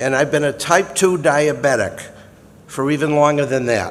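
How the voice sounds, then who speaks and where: This man has a Massachusetts accent and a fairly high pitch with fairly even intonation. He speaks at a moderate pace amid noticeable background noise. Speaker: retired lawyer and Air Force veteran. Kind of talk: prepared speech introduction.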